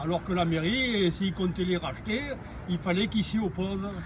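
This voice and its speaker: Over noticeable background noise, a man with a Marseille accent speaks in a high pitch at a moderate pace. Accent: sing-song Marseille. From Provence, near Marseille. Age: 60s. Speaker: homeowner interviewee. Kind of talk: interview.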